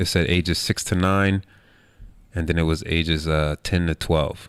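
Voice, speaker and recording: Someone speaks with a New York accent on a very clean recording with a silent background. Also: man. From New York, Queens. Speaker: basketball player. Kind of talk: interview. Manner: casual.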